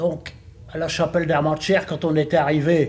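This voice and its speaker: Speaking at a fairly slow pace, a man has a fairly high, somewhat breathy voice. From northern France, Lille area. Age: 80s+. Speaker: retired bookbinding factory worker. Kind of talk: interview testimony. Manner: halting, hesitant with repetitions.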